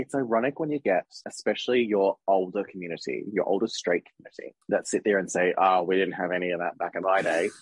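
A man with an Australian accent speaks very fast, with hardly any pauses, at a fairly low pitch with ordinary pitch variation. The sound is dry and close, with no echo. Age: 30s. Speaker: podcast co-host. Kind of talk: casual chat.

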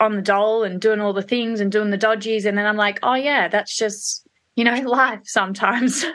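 With an Australian accent, a woman speaks at a moderate pace, her fairly high pitch held in a fairly even intonation. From Australia, Perth and Melbourne. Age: 30s. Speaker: hairdresser and salon owner. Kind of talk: casual interview.

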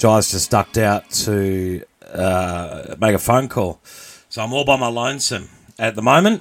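A man's unremarkable speaking voice at a medium pitch, fairly slow in pace, with ordinary pitch variation. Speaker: podcast host. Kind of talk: live-streamed radio-style banter, with a mock news segment. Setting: live show with audience, streamed online. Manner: playful, bantering, ad-libbing.

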